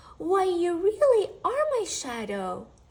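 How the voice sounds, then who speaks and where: In a put-on character voice, raised and projected, someone speaks at a fairly slow pace with very wide pitch swings. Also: woman, extremely high pitch for a woman. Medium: read story. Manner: soft, whispering at times.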